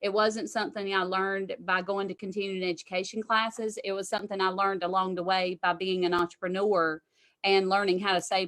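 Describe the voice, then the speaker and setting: A woman talks at a fairly quick pace with hardly any pauses, her medium pitch held to fairly even intonation. The recording is very clean, with a silent background. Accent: Southern US. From US South. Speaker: tax strategist. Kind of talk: interview.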